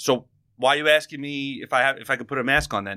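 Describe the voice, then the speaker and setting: In a New York accent, the voice moves at a very fast pace with a bright, sharp tone on a very clean recording with a silent background. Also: man. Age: 30s. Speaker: podcast host. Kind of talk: casual chat. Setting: studio.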